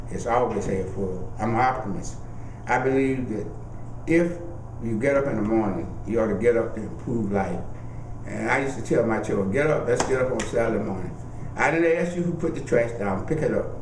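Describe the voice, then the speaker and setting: With noticeable background noise and audible room echo, a man talks at a fairly quick pace in a medium pitch with lively intonation. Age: 70s. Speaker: oral history interviewee, lawyer. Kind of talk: oral history interview. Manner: reflective, earnest storytelling.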